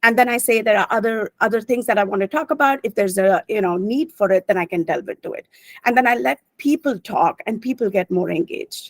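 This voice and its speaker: With lively intonation and a fairly high pitch, a woman talks at a very fast pace in a dry, close sound with no echo. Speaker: finance professional. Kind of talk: webinar talk.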